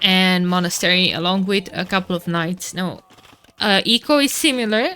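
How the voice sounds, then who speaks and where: A woman with a Romanian accent speaks at a medium pitch and a moderate pace. Her pitch variation is ordinary, and the background noise is noticeable. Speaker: esports caster. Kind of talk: live commentary. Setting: live stream. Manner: animated.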